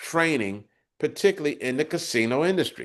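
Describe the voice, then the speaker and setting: This man speaks at a moderate pace with lively intonation and a fairly high pitch, against a quiet background. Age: 60s. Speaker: podcast host and cybersecurity training advocate. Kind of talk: interview conversation. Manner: halting, with fillers.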